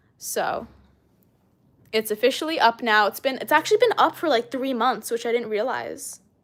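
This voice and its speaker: Recorded very cleanly with a silent background, a woman speaks at a moderate pace in a high pitch with ordinary pitch variation. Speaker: snake-keeping live streamer. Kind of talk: live stream Q&A chat. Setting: live stream on camera. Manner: casual, hesitant with fillers.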